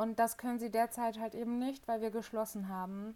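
A woman's fairly high voice in a monotone, flat delivery at a moderate pace. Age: 20s. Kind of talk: casual interview. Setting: video call.

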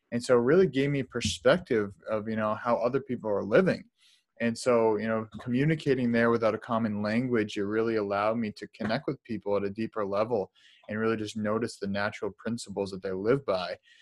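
At a fairly quick pace, a man with a plain, everyday voice speaks at medium pitch with ordinary pitch variation. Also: dry, close sound with no echo. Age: 20s. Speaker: holistic lifestyle coach. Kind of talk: interview.

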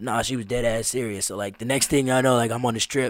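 In a very clean recording with a silent background, a man with an American accent and an ordinary speaking voice talks at a fairly quick pace and medium pitch. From Las Vegas, US. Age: 20s. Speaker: street drummer and musician. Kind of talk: casual chat. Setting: studio.

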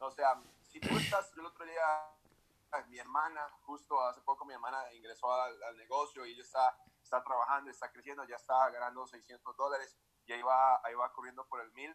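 A man with a plain, everyday voice speaks at a fairly quick pace and medium pitch, with fairly even intonation and big swings in loudness. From Costa Rica, Escazú, San José. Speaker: entrepreneur. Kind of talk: interview.

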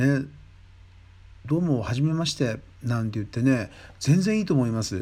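At a moderate pace and medium pitch, a man with a dark, mellow tone talks with long, frequent pauses. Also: lively intonation. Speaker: podcast host, Thai massage trainer. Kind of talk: casual solo talk. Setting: late-night solo recording. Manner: rambling, conversational.

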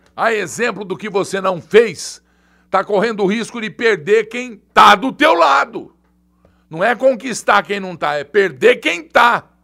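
Raised and projected, a man's animated voice sits high in pitch, with lively intonation, a bright, sharp tone and a fairly slow pace. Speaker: journalist and online show host. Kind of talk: live political commentary. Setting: studio, live stream. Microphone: new heavy microphone.

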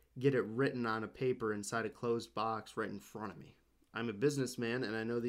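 This is reading aloud in a natural voice with fairly even intonation.

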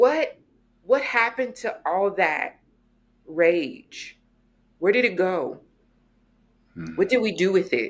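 On a very clean recording with a silent background, a woman talks at a very slow pace with lively intonation. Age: 40s. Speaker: womanist scholar and educator. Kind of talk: interview conversation.

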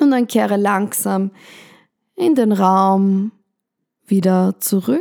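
At a very slow pace, a woman talks in a calm, soothing tone, dark and mellow. Her pitch is medium and her intonation fairly even. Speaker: podcast host and meditation guide. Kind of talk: guided meditation. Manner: slow, calm, soothing with pauses; soft-spoken, gentle and reassuring.

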